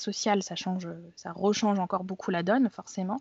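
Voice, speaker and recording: The delivery is at a moderate pace with fairly even intonation. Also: woman. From France. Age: 30s. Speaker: blogger and activist. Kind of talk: interview. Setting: remote recording. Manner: hesitant with many fillers and repetitions.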